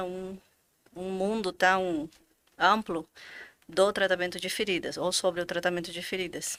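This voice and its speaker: Bright and sharp in tone, a woman with a Bolivian accent speaks very slowly at a medium pitch with fairly even intonation, in a very clean recording with a silent background. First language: Spanish (speaking Portuguese). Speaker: physician, finance director. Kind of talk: podcast interview.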